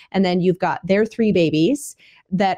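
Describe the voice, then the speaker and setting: Ordinary pitch variation marks this woman's speech at a moderate pace. The background is quiet. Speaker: homestead podcast host. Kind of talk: podcast monologue. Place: home room. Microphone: studio mic.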